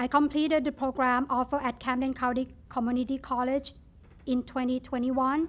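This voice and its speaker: In a Thai accent, the speaker goes at a fairly quick pace with monotone, flat intonation and very even loudness. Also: woman, high pitch for a woman. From Thailand. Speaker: nursing student. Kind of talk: ceremony speech. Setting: ribbon cutting ceremony with audience.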